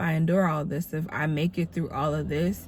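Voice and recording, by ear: A woman speaks at a fairly slow pace in a low, nasal voice with a dark, mellow tone, vocal fry and fairly even intonation.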